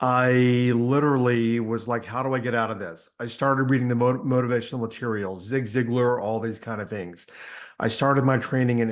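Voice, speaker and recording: Over a quiet background, a man with an American accent speaks in a medium pitch. His pace is fairly quick and his intonation fairly even. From Texas, small town. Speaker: personal transformation coach. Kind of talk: podcast interview. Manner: fast.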